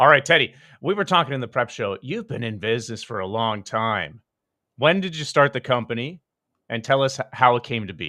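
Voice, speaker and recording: A man with a Canadian accent talks at a fairly quick pace in a medium pitch, with lively intonation and a bright, sharp tone, on a very clean recording with a silent background. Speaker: podcast host. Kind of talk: interview.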